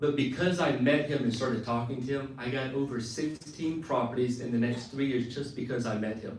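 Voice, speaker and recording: The speech moves at a fairly quick pace with fairly even intonation. Noticeable background noise and audible room echo fill the recording. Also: man, medium pitch for a man. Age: 30s. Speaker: real estate investor. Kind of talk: motivational talk. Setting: stage with audience.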